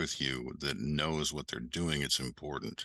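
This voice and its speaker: This voice has a bright, sharp tone, vocal fry and an American accent. It moves at a moderate pace in a dry, close sound with no echo. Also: man. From Western New York. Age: 60s. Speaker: ecommerce educator and entrepreneur. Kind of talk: podcast interview.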